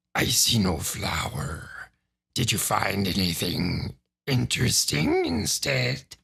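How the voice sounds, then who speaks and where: A man puts on a character voice that is raspy and very deep and low. He speaks at a fairly slow pace. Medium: read story. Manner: whining, placating.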